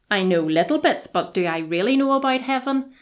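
Lively in intonation, a woman speaks with a Belfast accent on a very clean recording with a silent background. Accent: Belfast Northern Irish. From Northern Ireland, Belfast. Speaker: college registrar. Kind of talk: podcast interview about faith.

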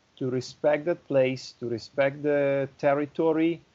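A man with an Italian accent speaks at a fairly high pitch. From northern Italy (Milan, Lombardy). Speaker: winery export director. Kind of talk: interview.

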